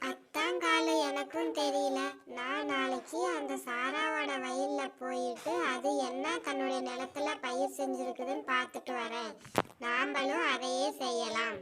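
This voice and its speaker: This cartoonish character voice has a fairly high pitch. It moves at a very slow pace. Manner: sly, nosy.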